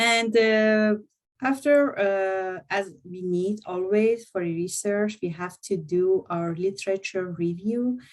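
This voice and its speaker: A woman speaks very slowly at a medium pitch with ordinary pitch variation. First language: not English; French is second language. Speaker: university lecturer. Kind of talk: presentation to students. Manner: halting, many fillers.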